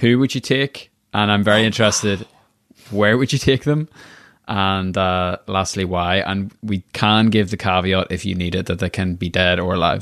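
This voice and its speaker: Over a quiet background, a man with a Northern Irish accent speaks at a moderate pace, his pitch fairly low and its variation ordinary. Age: 20s. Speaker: podcast host. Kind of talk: interview; scripted outro. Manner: animated.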